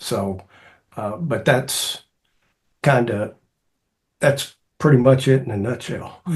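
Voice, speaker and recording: At a very slow pace with long, frequent pauses, a somewhat breathy man speaks at medium pitch with ordinary pitch variation and big swings in loudness. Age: 60s. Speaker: cross country coach and speaker. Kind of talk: interview. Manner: halting.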